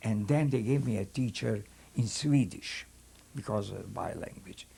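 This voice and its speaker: This voice has a dark, mellow tone and vocal fry, with a Hungarian accent. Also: man, medium pitch for a man, ordinary pitch variation, moderate pace. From Hungary. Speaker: rabbi and Holocaust survivor. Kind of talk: testimony. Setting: filmed interview. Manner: halting.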